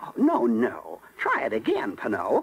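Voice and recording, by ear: A man puts on a cartoonish character voice at medium pitch, swinging his pitch very widely. He speaks at a moderate pace with vocal fry and a slightly husky edge.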